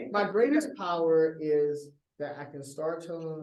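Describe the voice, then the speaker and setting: A man talks at moderate speed, his voice carrying audible room echo. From Texas. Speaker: performance poet. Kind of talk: casual chat.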